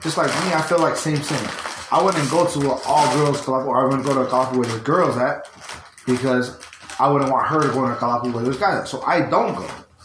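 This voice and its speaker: Noticeable background noise and audible room echo fill this recording. A man with an American accent speaks at a fairly high pitch, using ordinary pitch variation. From US, Tongan heritage. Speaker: podcast co-host. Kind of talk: casual chat.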